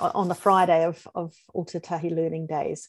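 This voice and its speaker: A woman speaks at a moderate pace in a New Zealand accent, her medium-pitched voice flat and monotone, the sound dry and close with no echo. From New Zealand, Christchurch. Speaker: futurist and former school principal. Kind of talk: interview.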